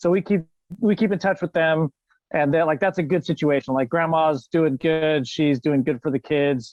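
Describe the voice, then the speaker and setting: An ordinary speaking voice, delivered at a moderate pace with very even loudness and ordinary pitch variation. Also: man, fairly high pitch for a man. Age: 30s. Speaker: podcast guest, foster and adoptive father. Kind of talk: casual chat.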